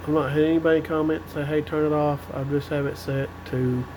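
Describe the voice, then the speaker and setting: Over noticeable background noise, a man with a fairly high pitch speaks quietly at a moderate pace. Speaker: CB radio hobbyist reviewer. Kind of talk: tutorial. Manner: quiet-spoken; casual.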